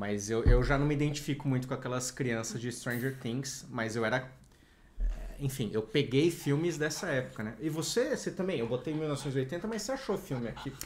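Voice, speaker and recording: A man speaks at a moderate pace with lively intonation and a somewhat breathy voice. Light background noise can be heard. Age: 30s. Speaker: youtuber; podcast co-host. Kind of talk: casual chat. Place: home room. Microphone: studio mic.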